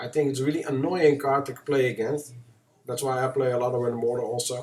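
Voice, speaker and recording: With a strong Dutch accent, a man speaks at a fairly high pitch in a monotone, flat intonation. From Netherlands. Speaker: gaming streamer. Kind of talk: live game commentary. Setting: live stream. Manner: halting.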